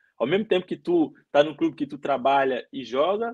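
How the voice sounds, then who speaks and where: A man with a high voice, a fairly quick pace and lively intonation, recorded dry and close with no echo. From Belo Horizonte, Brazil. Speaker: footballer. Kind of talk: interview. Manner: halting.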